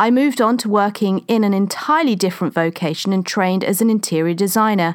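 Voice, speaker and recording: Speaking with a London accent, a woman talks very fast with ordinary pitch variation. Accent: southern English (London). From London, England. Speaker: podcast host and women's coach. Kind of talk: scripted monologue.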